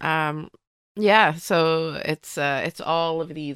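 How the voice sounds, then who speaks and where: In a very clean recording with a silent background, a woman speaks with fairly even intonation. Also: dry, close sound with no echo. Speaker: comedian. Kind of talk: casual chat.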